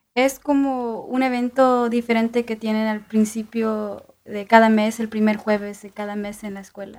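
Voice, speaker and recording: A woman's fairly high-pitched voice in monotone, flat intonation, fairly slow in pace with hardly any pauses and big swings in loudness. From northern Indiana, Hammond. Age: young. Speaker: university student and mariachi musician. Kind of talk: radio interview.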